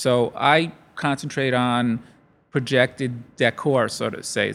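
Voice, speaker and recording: A man with a New York accent speaks at medium pitch with fairly even intonation. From Brooklyn, New York. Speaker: lighting company owner. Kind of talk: interview. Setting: event studio.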